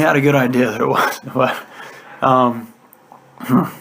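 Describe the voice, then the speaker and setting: Noticeable background noise runs beneath this man's voice. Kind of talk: casual conversation with a relative. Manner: stuttering, repeating words and syllables.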